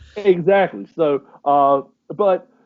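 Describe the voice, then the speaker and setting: A man talks with a Southern US accent. His pitch is fairly high. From US South, North Carolina. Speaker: podcast co-host. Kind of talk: casual chat.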